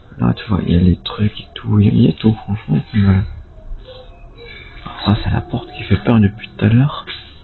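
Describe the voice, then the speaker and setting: A man at a moderate pace with music in the background. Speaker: urban explorer vlogger. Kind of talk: casual vlog narration. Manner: quiet, hushed to avoid noise; halting, filler-heavy.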